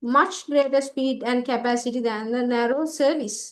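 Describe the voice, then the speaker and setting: Over a quiet background, a woman with a high pitch speaks at a fairly slow pace. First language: Sinhala. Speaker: ICT tutor. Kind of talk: online exam paper class.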